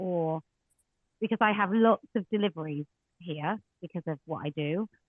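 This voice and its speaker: A woman speaks with an English accent. Her pitch varies in an ordinary way. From England. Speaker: women's rights campaigner. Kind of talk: online audio space Q&A. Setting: online audio space. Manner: loud.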